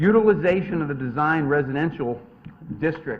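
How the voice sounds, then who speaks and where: A man speaks at a fairly quick pace with lively intonation. Noticeable background noise runs underneath. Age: 60s. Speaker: attorney presenting a development application. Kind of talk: formal presentation at a zoning hearing. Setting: town commission meeting.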